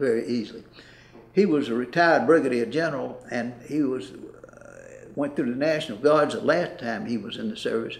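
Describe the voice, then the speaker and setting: In a Mississippi accent, a man talks at a moderate pace and medium pitch, with ordinary pitch variation, vocal fry and audible room echo. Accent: Southern US (Mississippi). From US South, Mississippi (Lexington). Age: 80s+. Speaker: retired banker. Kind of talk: interview. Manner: halting.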